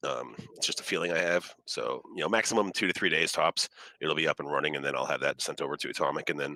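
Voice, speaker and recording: Heard in a dry, close sound with no echo, a man speaks at a very fast pace. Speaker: crypto project developer. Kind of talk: casual voice chat. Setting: group voice chat online. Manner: hesitant, many fillers.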